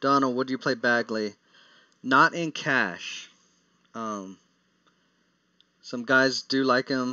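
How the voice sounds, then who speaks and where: The speaker has an American accent and a fairly even intonation. The pace is very slow, with long, frequent pauses. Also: man, medium pitch for a man. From Texas. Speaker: daily fantasy sports analyst. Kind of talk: live stream Q&A. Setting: live stream. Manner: casual, with frequent fillers and restarts.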